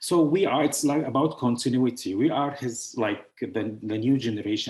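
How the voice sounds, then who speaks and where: A man with a medium pitch and ordinary pitch variation talks at a moderate pace. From Syria. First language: Arabic. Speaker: author and founder of a publishing house. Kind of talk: online presentation. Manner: halting, with many fillers.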